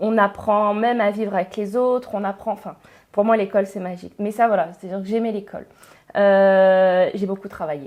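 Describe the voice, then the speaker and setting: A woman at a medium pitch, speaking at a fairly quick pace. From northern France, Pas-de-Calais. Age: 30s. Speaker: engineer and education entrepreneur. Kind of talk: podcast interview. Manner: hesitant, many fillers.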